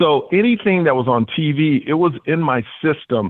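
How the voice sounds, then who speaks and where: Energetic and excited, a man speaks in a fairly high pitch. His voice makes very wide pitch swings. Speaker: comedian and game show host. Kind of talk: interview. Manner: energetic, excited; animated.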